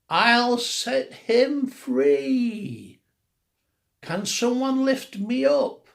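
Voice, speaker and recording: Very slowly, a woman does a squeaky, put-on character voice pitched high. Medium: read story.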